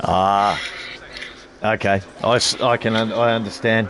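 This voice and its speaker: With music playing behind him, a man with an Australian accent speaks at a medium pitch. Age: 50s. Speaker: sim racing livestream host. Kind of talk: post-race interview and sign-off on livestream. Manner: halting, many fillers and repeats.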